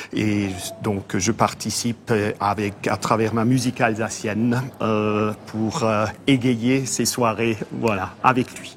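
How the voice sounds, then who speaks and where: A man's medium-pitched, monotone voice with flat intonation at a very slow pace. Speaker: accordionist. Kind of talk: interview.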